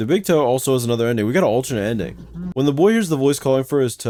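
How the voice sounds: The intonation here is lively. It is a natural reading voice.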